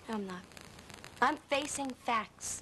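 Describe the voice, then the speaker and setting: A woman's ordinary pitch variation comes through with light background noise. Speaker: soap opera actor playing a daughter. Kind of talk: acted drama dialogue. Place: studio. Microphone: old recording.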